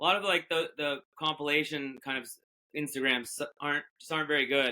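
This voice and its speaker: In a New England accent, a man talks at a fairly quick pace with fairly even intonation and big swings in loudness. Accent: New England American. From Massachusetts. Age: 40s. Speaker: fishing boat captain. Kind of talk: casual chat. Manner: halting, many fillers.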